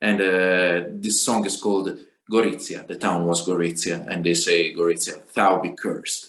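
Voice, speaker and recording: Amid audible room echo, a man with an Italian accent and a very deep, low pitch talks at a moderate pace with fairly even intonation. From Italy. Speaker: singer and guitarist. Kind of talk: spoken song introduction. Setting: video call. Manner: halting, many hesitations.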